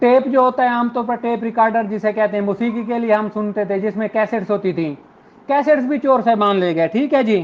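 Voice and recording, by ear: A man's high-pitched voice at a fairly quick pace, with few pauses. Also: ordinary pitch variation.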